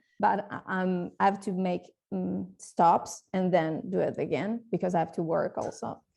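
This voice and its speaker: A woman talks at a fairly slow pace. She speaks with an Italian accent. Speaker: coaching client. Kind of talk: testimonial interview. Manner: halting.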